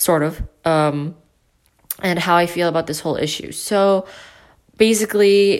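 A woman talks at a fairly slow pace. Her pitch is fairly low, with ordinary variation.

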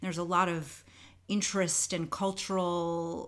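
With a normal speaking voice, a woman in an American accent talks at a fairly slow pace and fairly low pitch on a very clean recording with a silent background. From New York. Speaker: dancer and Zumba teacher. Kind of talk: casual interview chat.

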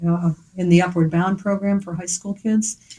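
A somewhat breathy, fairly low female voice with an American accent, dark and mellow in tone, monotone and flat, at a moderate pace. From Philadelphia. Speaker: artist and art teacher. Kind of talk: interview. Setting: gallery.

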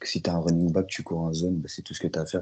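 His pitch sits very deep and low. The speaker is a man. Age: 20s. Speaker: American football player. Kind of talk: interview. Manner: hesitant, many fillers.

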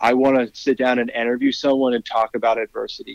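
This man has a normal speaking voice at medium pitch. He talks at a fairly quick pace with fairly even intonation. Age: 30s. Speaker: founder and CEO of a sports podcast network. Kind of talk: interview.

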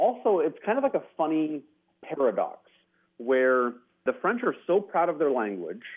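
A man speaks with an American accent, his pitch fairly high for a man. His loudness stays very even, in an ordinary speaking voice. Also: moderate pace. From United States. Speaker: caller. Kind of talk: casual chat. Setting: phone call.

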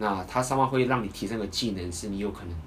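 With a Taiwanese accent, a man speaks in a somewhat breathy voice. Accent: Taiwanese Mandarin. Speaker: dating coach and podcast host. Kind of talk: casual chat.

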